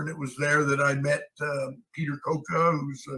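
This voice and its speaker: Speaking at a moderate pace with an American accent, a man has a fairly high, bright, sharp voice and fairly even intonation. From California. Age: 80s+. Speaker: actor. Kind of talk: interview answer.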